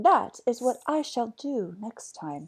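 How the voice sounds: Doing a put-on character voice, a woman speaks slowly at a fairly high pitch with big pitch swings, a fairly bright tone and a slightly husky edge.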